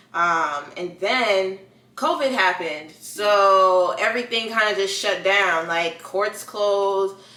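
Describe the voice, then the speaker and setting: Noticeable background noise sits behind a woman speaking at a very slow pace. Her pitch is medium with ordinary variation. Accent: American. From New York. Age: 20s. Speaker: prosecutor. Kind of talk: podcast interview. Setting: podcast recording.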